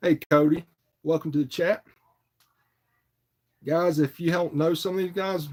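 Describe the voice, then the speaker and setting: A man with an Appalachian accent, high pitch, monotone, flat intonation, and a moderate pace. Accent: Southern US (Appalachian foothills). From North Carolina, Morganton foothills. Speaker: fishing livestreamer. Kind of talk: casual livestream chat. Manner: relaxed, filler-heavy.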